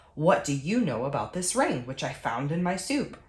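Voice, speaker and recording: Putting on a character voice, a woman talks at a moderate pace in a fairly low pitch with very wide pitch swings. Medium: read story. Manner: commanding.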